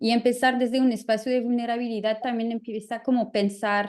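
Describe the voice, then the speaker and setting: A woman with a French accent speaks at a fairly high pitch against a quiet background. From France. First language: French (speaking Spanish). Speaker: artist and curator. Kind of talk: panel talk. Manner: halting, searching for words.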